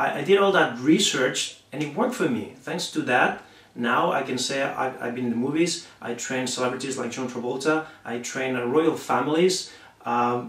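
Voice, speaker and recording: Amid noticeable background noise and audible room echo, a man speaks at a medium pitch with a Spanish accent. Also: ordinary pitch variation, moderate pace. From Spain. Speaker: martial arts instructor. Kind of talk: promotional talk to camera. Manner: halting, many fillers.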